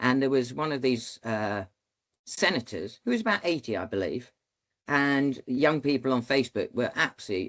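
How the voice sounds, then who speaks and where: A man with a British accent at a moderate pace, lively in intonation, against a quiet background. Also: medium pitch for a man. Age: 60s. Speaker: former military pilot, leadership speaker. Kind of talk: podcast interview. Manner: halting.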